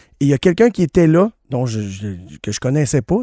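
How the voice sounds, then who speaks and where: A man's dark, mellow voice at a fairly high pitch, dry and close with no echo, on a very clean recording with a silent background. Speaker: radio show co-host. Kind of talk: casual radio chat.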